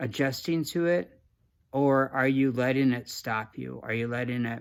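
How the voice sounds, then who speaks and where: The recording is very clean, with a silent background. A man talks at a moderate pace and medium pitch with ordinary pitch variation. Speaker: creativity coach. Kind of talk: casual motivational talk to camera. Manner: halting, many restarts and fillers.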